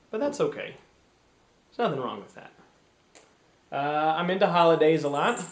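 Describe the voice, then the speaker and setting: A man with an American accent, high in pitch and animated in tone, at a fairly quick pace with big swings in loudness, long, frequent pauses and audible room echo. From US Midwest, Cleveland, Ohio. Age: 30s. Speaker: performer. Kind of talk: casual self-introduction to camera.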